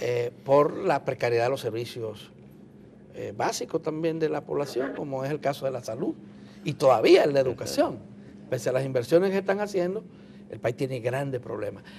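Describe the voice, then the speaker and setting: At a moderate pace, a man with a fairly high pitch speaks in an unremarkable speaking voice and lively intonation. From Dominican Republic. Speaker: TV interviewer. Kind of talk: TV interview.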